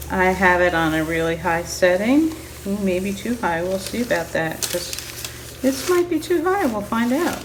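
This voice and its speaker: A voice with lively intonation moves at a moderate pace through noticeable background noise and audible room echo. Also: woman, medium pitch for a woman. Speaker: crafter. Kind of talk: tutorial. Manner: loud; quieter than usual.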